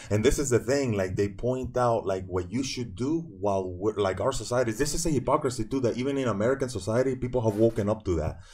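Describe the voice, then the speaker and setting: The speech races along at a very fast pace with hardly any pauses. The voice is somewhat breathy, with ordinary pitch variation. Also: man, medium pitch for a man. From Venezuela. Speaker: historian. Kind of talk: podcast interview.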